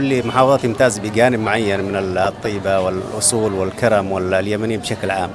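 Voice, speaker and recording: A man speaks at a moderate pace and a medium pitch, with audible room echo and noticeable background noise. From Yemen. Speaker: doctor, interviewee. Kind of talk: street interview.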